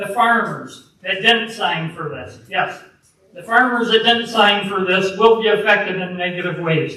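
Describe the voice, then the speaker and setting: This man's voice is raised and projected, set high in pitch at a moderate pace. Room echo is audible around him. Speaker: public commenter. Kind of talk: public comment at township meeting. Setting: public meeting hall. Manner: loud.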